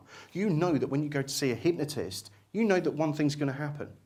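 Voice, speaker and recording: A man speaks at a fairly high pitch and a fairly quick pace. His voice carries audible room echo. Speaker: hypnotist and hypnosis teacher. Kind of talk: lecture. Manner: fast.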